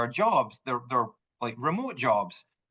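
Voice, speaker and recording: A man speaks with a Scottish accent. His tone is animated, bright and sharp. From Scotland. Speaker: home sales manager. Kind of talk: podcast interview. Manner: animated storytelling.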